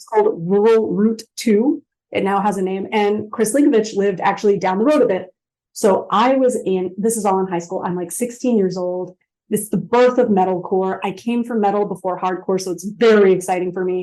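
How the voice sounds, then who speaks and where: Big swings in loudness mark this woman's fairly quick delivery, her medium-pitched voice dark and mellow in tone. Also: ordinary pitch variation. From central Maine, US. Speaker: musician and radio show host. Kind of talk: casual interview chat. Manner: fast.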